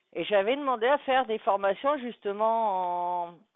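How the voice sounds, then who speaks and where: A woman speaks fairly slowly in an ordinary speaking voice. Her pitch is fairly high. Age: 40s. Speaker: live streamer. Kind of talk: casual chat. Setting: live stream.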